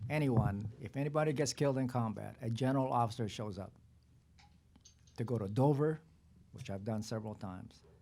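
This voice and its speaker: A man speaks at a fairly quick pace, his medium pitch carrying ordinary variation and a dark, mellow tone. Long, frequent pauses break up his speech, and room echo is audible. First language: not English. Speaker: retired army general. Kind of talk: panel discussion. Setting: press conference. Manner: halting.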